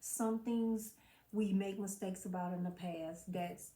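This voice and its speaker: A somewhat breathy woman's voice at medium pitch. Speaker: mental health vlogger. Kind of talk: motivational talk to camera. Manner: stumbles over words.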